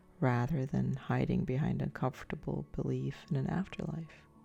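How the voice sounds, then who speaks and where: Music plays in the background as a soft-spoken woman talks in a calm tone. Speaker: sleep story narrator. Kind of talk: sleep story. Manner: soft-spoken, calm.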